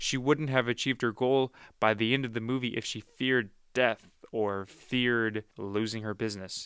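A man with a normal speaking voice at a medium pitch, fairly even intonation and a moderate pace, in a very clean recording with a silent background and a dry, close sound with no echo. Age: 20s. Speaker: podcast host and media reviewer. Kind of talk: casual review monologue. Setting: studio.

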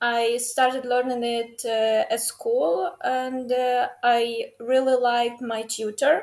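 Speaking at a very slow pace with hardly any pauses, a woman with a Ukrainian accent uses a high pitch and ordinary pitch variation on a very clean recording with a silent background. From Ukraine. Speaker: university student and dancer. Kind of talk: casual interview. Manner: halting, many fillers.

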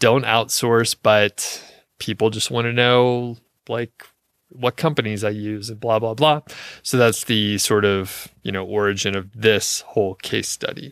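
A man with a normal speaking voice talks at a fairly low pitch and a fairly slow pace, with fairly even intonation. The recording is very clean, with a silent background and a dry, close sound with no echo. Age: 40s. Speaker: podcast host on niche websites. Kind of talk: casual solo podcast monologue. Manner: relaxed, conversational with fillers.

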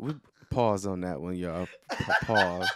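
A man's fairly slow speech in an American accent. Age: 30s. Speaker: podcast host. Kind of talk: casual chat. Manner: loud.

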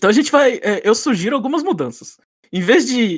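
Very wide pitch swings run through a man's voice on a very clean recording with a silent background. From Brazil, São Paulo. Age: 30s. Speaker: podcast host. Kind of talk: casual chat.

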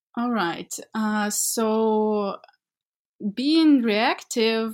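A woman speaks very slowly with ordinary pitch variation in a very clean recording with a silent background. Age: 20s. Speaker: project development manager. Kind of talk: interview. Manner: halting, many fillers.

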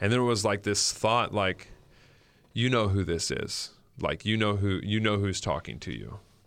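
A man with an unremarkable speaking voice, fairly low in pitch, at a moderate pace with fairly even intonation, on a very clean recording with a silent background. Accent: American. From northern California. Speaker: pastor. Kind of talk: testimony. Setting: studio. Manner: casual.

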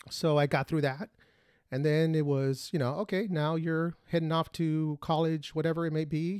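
A man with a Spanish accent and a fairly high pitch speaks at a moderate pace, with fairly even intonation and very even loudness. The recording is very clean and dry, close and echo-free, with a silent background. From Mexican family, grew up speaking Spanish. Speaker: podcast co-host, former Marine. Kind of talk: casual chat.

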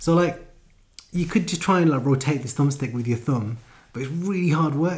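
Moderate pace and ordinary pitch variation from a man, his voice fairly high and somewhat breathy. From London. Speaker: gaming podcast co-host. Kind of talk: casual chat.

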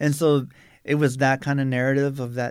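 On a very clean recording with a silent background, a man with an American accent speaks at a medium pitch in a monotone, flat intonation. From South Tucson, Arizona. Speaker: artist and museum exhibit preparator. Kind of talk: interview. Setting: studio.

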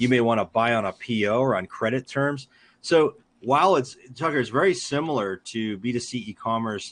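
Over a quiet background, a man talks at a moderate pace with a medium pitch and ordinary pitch variation. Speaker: ecommerce executive and author. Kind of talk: interview. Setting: live stream. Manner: authoritative.

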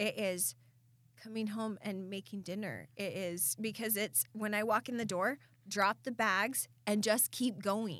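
Speaking with an American accent at a fairly slow pace, the voice shows vocal fry and ordinary pitch variation. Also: woman, medium pitch for a woman. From Southeast Idaho. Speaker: podcast co-host. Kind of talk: casual chat.

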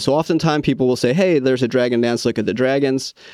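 A man talks with ordinary pitch variation. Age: 40s. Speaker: lion dance coach. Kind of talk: interview.

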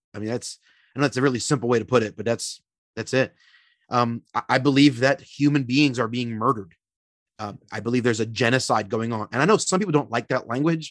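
Speaking very fast at a medium pitch, a man shows ordinary pitch variation in a dry, close sound with no echo. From Philadelphia, US. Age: 30s. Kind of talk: interview conversation. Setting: podcast recording. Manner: animated.

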